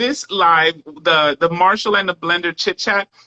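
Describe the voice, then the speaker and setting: A New York accent comes through. The talking moves at a moderate pace. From New York, the Bronx. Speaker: live stream host. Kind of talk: casual chat. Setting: live stream.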